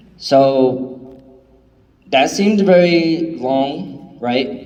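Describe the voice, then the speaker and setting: The speaker is a man. Noticeable background noise and audible room echo fill the recording. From New York City (Bronx), Puerto Rican family. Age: 30s. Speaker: motivational speaker. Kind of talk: testimony.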